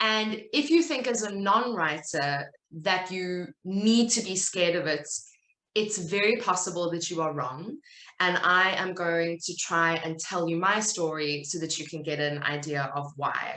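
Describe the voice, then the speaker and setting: With a South African accent, a woman speaks at a fairly slow pace in a fairly low pitch. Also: lively intonation. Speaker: writer and content business owner. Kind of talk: talk at a virtual summit.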